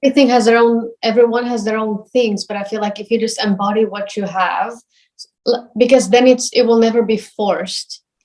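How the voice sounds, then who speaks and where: Delivered at a fairly quick pace in a monotone, flat intonation, the speech carries a non-native accent. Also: woman, fairly high pitch for a woman. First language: not English. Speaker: professional ballet dancer. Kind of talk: interview. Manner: hesitant, many fillers.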